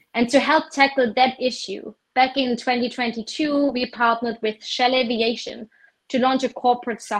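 A woman's high voice with ordinary pitch variation at a moderate pace. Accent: German. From southern rural Germany. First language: German. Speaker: corporate sustainability director. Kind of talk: interview.

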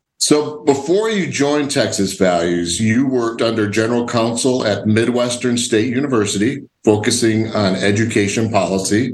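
A man at a medium pitch with an American accent, moderate pace, ordinary pitch variation and hardly any pauses, with audible room echo. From Illinois. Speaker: podcast host. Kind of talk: casual interview.

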